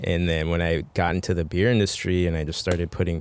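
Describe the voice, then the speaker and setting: In a Spanish accent, a man with a very deep, low voice speaks at a fairly quick pace. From Mexico. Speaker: brewer. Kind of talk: casual chat. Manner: relaxed, informal with swearing and fillers.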